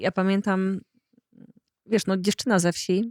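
In a dry, close sound with no echo, a woman with an unremarkable speaking voice talks with fairly even intonation. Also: very clean recording, silent background. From Poland, rural. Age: 40s. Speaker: podcast host. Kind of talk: casual interview conversation.

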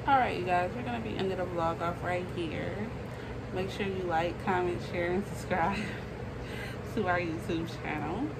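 Through loud background noise, a woman talks at a moderate pace with long, frequent pauses. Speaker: vlogger. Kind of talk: casual vlog outro. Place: home room. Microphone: phone near.

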